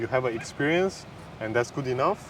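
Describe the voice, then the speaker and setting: A man's medium-pitched voice comes through with noticeable noise behind it. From Kazakhstan. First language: Kazakh and Mandarin Chinese. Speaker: immigrant interviewee. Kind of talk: casual interview. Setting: outdoors in a park. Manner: halting.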